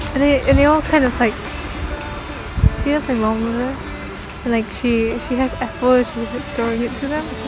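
Over clear music in the background, a woman with a high pitch mumbles in a fairly even intonation, the sound dry with no echo. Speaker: travel vlogger. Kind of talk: casual travel vlog talk to camera. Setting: outdoors. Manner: mumbled. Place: open country. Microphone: phone near.

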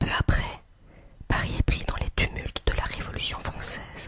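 A woman whispers at a moderate pace. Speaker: ASMR artist. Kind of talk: whispered history reading. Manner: whispered. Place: home room. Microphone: studio mic.

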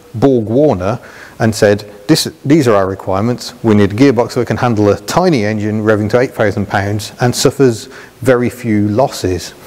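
A man with a British accent talks at a moderate pace, his pitch fairly low and its variation ordinary. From England. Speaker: motoring video presenter. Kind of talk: car review presentation. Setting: on location with cars, partly in car. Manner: enthusiastic, animated. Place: hall.

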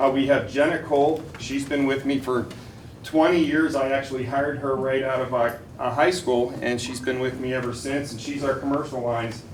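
A man with an American accent speaks at a fairly quick pace in a medium pitch with monotone, flat intonation. The recording has audible room echo and noticeable background noise. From Western Pennsylvania, Cranberry. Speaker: insurance agent. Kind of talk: sales pitch. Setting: school board meeting. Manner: loud when nervous.

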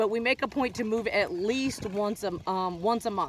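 A woman talks at a moderate pace with ordinary pitch variation. The sound is dry with no echo, with light background noise. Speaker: traveling parent vlogger. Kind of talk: casual vlog chat. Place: open country. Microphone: phone near.

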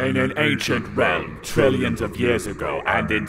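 Clear background noise runs under the recording. A man speaks at a moderate pace. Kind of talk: mock-epic trailer narration. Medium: comedy sketch. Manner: portentous, solemn.

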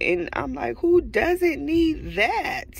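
A woman's very slow speech with a dry sound and no echo. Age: 30s. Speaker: vlogger; pregnancy vlogger. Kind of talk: casual vlog monologue. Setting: in a car in a parking lot. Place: car. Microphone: phone near.

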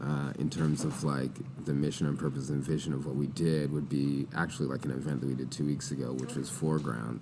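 Talking at a very fast pace, a man with a very deep, low pitch keeps his intonation fairly even. Noticeable background noise and audible room echo fill the recording. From Saskatchewan, Canada. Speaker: entrepreneur and former athlete. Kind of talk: casual interview.

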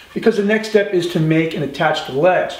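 A man speaks fairly quickly at a high pitch, with ordinary pitch variation. Room echo is audible. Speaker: woodworking instructor. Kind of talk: tutorial. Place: workshop.

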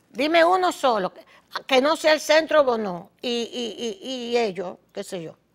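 A woman with a Dominican accent, high-pitched and fairly slow, with very wide pitch swings and big shifts in loudness against a quiet background. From Dominican Republic. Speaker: political talk show host. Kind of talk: opinionated commentary monologue. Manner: animated. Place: studio.

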